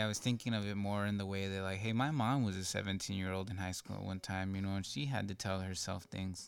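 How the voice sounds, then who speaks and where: Very fast and fairly low in pitch, a man speaks on a very clean recording with a silent background. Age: 20s. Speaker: former student, community college returnee. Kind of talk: casual interview.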